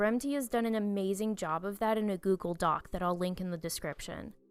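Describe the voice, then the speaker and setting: Over music in the background, a woman talks at a medium pitch with ordinary pitch variation. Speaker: pet battle gaming commentator. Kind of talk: scripted review narration.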